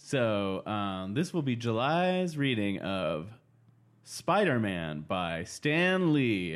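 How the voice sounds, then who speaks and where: A man at a very slow pace, medium in pitch, with very wide pitch swings. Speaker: podcast host. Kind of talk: casual chat.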